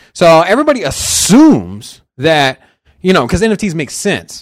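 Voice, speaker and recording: An animated man's voice with very wide pitch swings. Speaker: podcast co-host. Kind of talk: casual chat.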